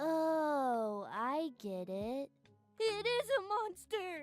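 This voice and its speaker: In a cartoonish character voice, the speaker goes very slowly at a high pitch with very wide pitch swings while faint music plays in the background. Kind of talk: comic cartoon voice. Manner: blunt, naive, crude.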